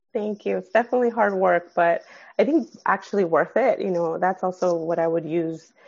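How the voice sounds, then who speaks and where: At a fairly quick pace, the speaker talks in a Californian accent with ordinary pitch variation. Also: woman, medium pitch for a woman. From San Fernando Valley, California. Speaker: clinical social worker. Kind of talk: casual interview. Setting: at home with sleeping baby.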